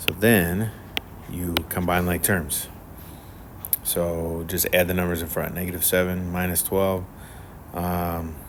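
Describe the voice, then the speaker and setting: A man with a very deep, low pitch, monotone, flat intonation, a fairly slow pace, long, frequent pauses, audible room echo and noticeable background noise. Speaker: math teacher. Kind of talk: tutorial. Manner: casual, many fillers.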